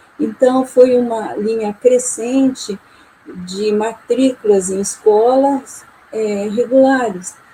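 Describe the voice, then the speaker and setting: Against noticeable background noise, a woman with a fairly high pitch speaks at a very slow pace. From Maringá, Paraná, Brazil. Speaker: visiting professor of education. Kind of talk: panel discussion.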